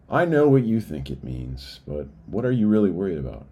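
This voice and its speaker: The talking runs fairly quick. An echo from the room can be heard. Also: man. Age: 40s. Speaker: business owner and writer in recovery. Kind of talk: reading aloud a personal essay.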